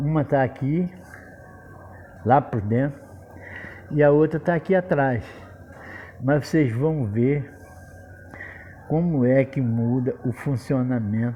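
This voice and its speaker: At a very slow pace, a man speaks with a medium pitch and ordinary pitch variation. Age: 70s. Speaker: handyman / repair tradesman. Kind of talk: tutorial. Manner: casual, repetitive.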